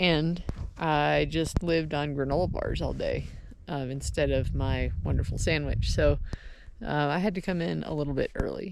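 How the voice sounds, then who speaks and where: A woman at a moderate pace, with audible room echo. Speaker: hunter vlogger. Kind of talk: video diary.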